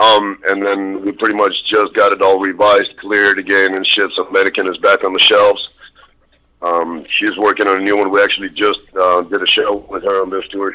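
A man's fairly low-pitched voice. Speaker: horrorcore rapper. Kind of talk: interview. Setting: phone call.

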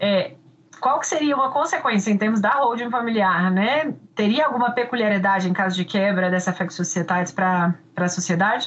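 A woman talks in a medium pitch with a somewhat breathy voice. Her intonation is lively and her loudness very even. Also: fairly quick pace. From Brazil, Minas Gerais. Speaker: law professor and podcast host. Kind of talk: interview.

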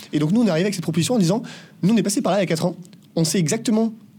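A man's dark, mellow voice at a very fast pace, with ordinary pitch variation. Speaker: agency co-founder, business school graduate. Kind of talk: casual interview. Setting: in person, La Rochelle.

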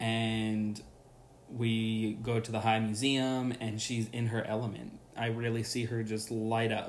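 A man speaks at a fairly slow pace in a monotone, flat intonation at medium pitch. Room echo is audible. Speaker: podcast host. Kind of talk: solo podcast monologue.

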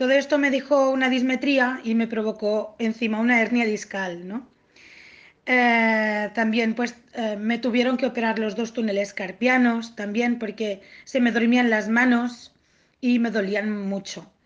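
Against a quiet background, a woman talks at a fairly slow pace with a fairly high pitch and fairly even intonation. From Catalonia, Spain (Tortosa). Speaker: autoimmune disease patient. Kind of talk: interview. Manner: halting, with many repetitions.

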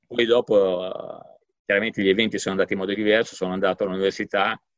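A man talks with monotone, flat intonation in a very deep, low voice. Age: 50s. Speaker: economics professor. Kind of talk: interview. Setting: office. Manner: halting.

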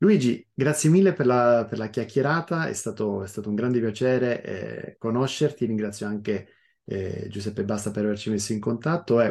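A man with a medium pitch talks at a moderate pace, using ordinary pitch variation. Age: 40s. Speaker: podcast host. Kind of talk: interview. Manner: halting, frequent repetitions.

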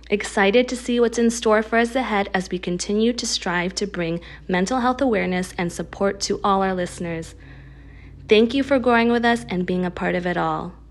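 At a fairly quick pace, a woman talks in a medium pitch with ordinary pitch variation, an American accent, and a plain, everyday voice. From US, Filipino American. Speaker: mental health practitioner and podcast host. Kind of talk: scripted intro.

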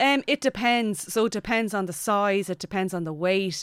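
A woman with a western Irish accent at a moderate pace with ordinary pitch variation, on a very clean recording with a silent background and a dry, close sound with no echo. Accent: Irish, west of Ireland. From Ireland, County Mayo. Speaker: aeronautical engineer and astronaut candidate. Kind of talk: casual interview. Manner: hesitant, many fillers.

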